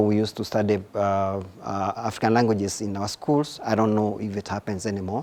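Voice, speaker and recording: The delivery moves at a moderate pace. Intonation stays monotone and flat throughout. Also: man. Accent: Kenyan. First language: Gikuyu. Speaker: researcher and writer. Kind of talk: interview answers. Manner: halting, many repetitions and fillers.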